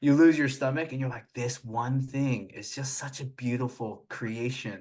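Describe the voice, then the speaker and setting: Over a quiet background, a man speaks at a moderate pace and medium pitch with fairly even intonation. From US, Vietnamese immigrant family. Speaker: pastor. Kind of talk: casual interview. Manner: fluent, clear speaker; frequent filler 'like'.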